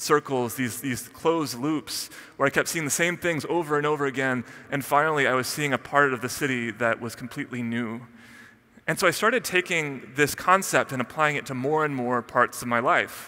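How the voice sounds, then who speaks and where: The man's tone comes across bright and sharp. He moves along at a fairly quick pace. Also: ordinary pitch variation. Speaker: conference speaker. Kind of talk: keynote talk. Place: stage. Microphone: headset.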